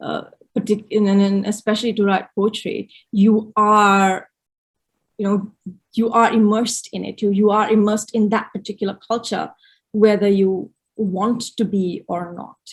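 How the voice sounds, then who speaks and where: A woman speaks at medium pitch and a moderate pace. Her voice is somewhat breathy, with monotone, flat intonation. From India, Gujarat. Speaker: poet. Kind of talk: interview conversation. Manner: halting, many repetitions.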